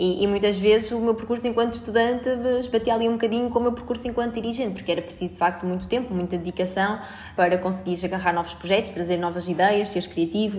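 Noticeable background noise sits behind a woman speaking very fast. Her pitch is medium and her intonation fairly even. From Portugal, Albergaria-a-Velha (Aveiro district). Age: 20s. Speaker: student union president. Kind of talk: interview. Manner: halting, frequent repetitions and fillers.

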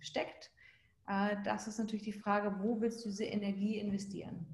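At a moderate pace, a woman speaks at medium pitch, her voice somewhat breathy with a dark, mellow tone. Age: 40s. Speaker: life and business coach. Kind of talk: casual interview conversation.

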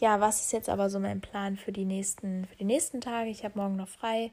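The woman's tone is dark and mellow. Her intonation stays monotone and flat. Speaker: au pair podcaster. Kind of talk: personal monologue. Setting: lying in bed in her room.

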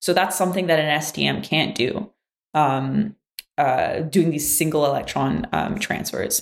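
Speaking at a fairly slow pace with a French Canadian accent, a woman keeps her loudness very even. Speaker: physics graduate student. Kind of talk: casual interview.

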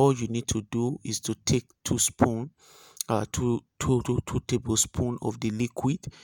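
A man with a Nigerian accent speaks fairly slowly in a dark, mellow tone with monotone, flat intonation. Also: medium pitch for a man, dry, close sound with no echo. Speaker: spiritual healer / pastor. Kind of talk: spiritual remedy instruction monologue. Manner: halting, many filler sounds.

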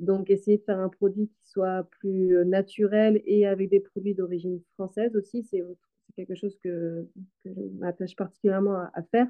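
A woman speaks at a moderate pace and medium pitch in a monotone, flat intonation. Her loudness swings widely. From western Brittany, France. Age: 30s. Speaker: farmer and soap maker. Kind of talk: interview.

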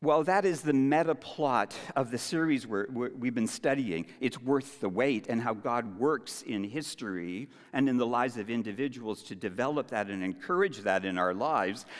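The background is silent and the recording very clean. There is an ordinary speaking voice at a moderate pace, its intonation lively. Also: man, medium pitch for a man. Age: 60s. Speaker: church elder and preacher. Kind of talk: sermon.

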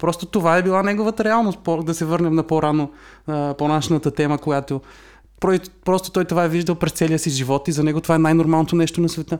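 Talking at a very fast pace, a man with a fairly high pitch keeps very even loudness and fairly even intonation on a very clean recording with a silent background. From Bulgaria. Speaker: podcast co-host. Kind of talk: casual chat.

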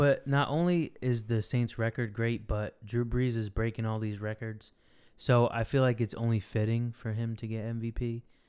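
Over a silent background in a very clean recording, a man with an American accent talks at a moderate pace and medium pitch in a plain, everyday voice. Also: fairly even intonation. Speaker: podcast co-host. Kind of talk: casual sports talk.

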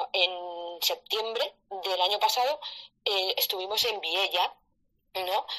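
A woman's medium-pitched voice, bright and sharp in tone, with ordinary pitch variation. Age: 40s. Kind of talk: live audio-room discussion.

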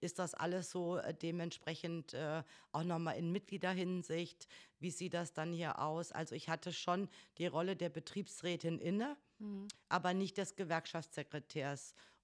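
An ordinary speaking voice from a woman at a fairly low pitch and moderate pace, with fairly even intonation, in a very clean recording with a silent background. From northern Hesse, Germany. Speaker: trade union secretary. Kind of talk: casual interview.

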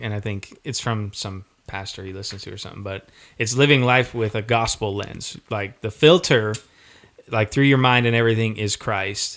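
Speaking at a moderate pace, a man with an American accent has a fairly low pitch and ordinary pitch variation. His loudness swings widely. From Colorado. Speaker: podcast co-host. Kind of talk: casual chat. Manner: animated.

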